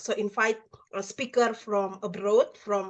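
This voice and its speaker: Over a quiet background, a woman speaks at a moderate pace with a fairly high pitch. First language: not English. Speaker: English teacher. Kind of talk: casual discussion in an online speaking club. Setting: video call. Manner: halting, many fillers.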